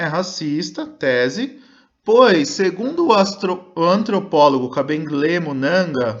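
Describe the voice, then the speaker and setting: A man with a high pitch and very wide pitch swings, at a very slow pace. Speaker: schoolteacher. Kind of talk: recorded online lesson.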